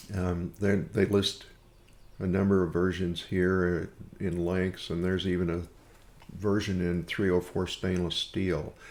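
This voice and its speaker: In an American accent, a man speaks fairly slowly with a very deep, low pitch. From US Midwest (Missouri Ozarks). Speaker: software tutorial maker, woodworker. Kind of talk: tutorial.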